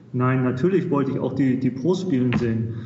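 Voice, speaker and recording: Fairly quick speech comes through with audible room echo and noticeable background noise. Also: man. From Germany, Hamburg. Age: 30s. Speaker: golf tournament volunteer. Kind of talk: casual chat.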